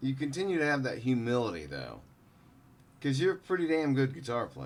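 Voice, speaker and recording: At a fairly quick pace, a man speaks in a normal speaking voice, medium in pitch with ordinary pitch variation. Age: 40s. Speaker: podcast host. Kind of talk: casual chat.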